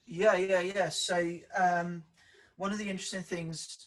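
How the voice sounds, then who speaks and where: The speaker is a man with a strong Welsh accent. He talks at a fairly slow pace with fairly even intonation. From South Wales valleys, near Merthyr Tydfil. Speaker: public sector leadership director. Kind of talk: interview. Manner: hesitant, many fillers.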